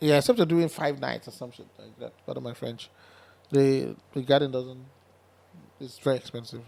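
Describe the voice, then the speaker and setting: Speaking with a Nigerian accent in a dark, mellow tone, the voice has fairly even intonation, big swings in loudness and long, frequent pauses. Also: man, medium pitch for a man. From Nigeria, Delta State (Asaba). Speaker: concert promoter. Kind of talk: podcast interview. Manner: fast.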